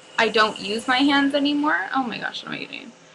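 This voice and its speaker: A woman's ordinary pitch variation comes through over noticeable background noise. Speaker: makeup artist. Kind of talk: tutorial. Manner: casual, filler-heavy.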